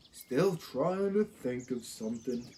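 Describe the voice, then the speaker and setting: At a fairly slow pace, a man does a put-on character voice at a medium pitch. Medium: read story. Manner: mopey, slow.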